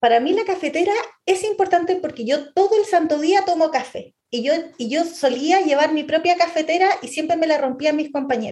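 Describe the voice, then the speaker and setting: With an extremely high pitch, a woman speaks at a fairly quick pace using lively intonation. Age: 40s. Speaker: UX designer. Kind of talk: interview. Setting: remote call.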